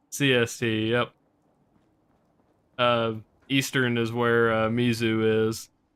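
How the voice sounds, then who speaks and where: Speaking with a slight Southern US accent, a man talks at a very slow pace in a monotone, flat intonation, leaving long, frequent pauses. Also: medium pitch for a man. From US South. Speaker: video game streamer. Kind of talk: casual live stream chat. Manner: halting, many fillers.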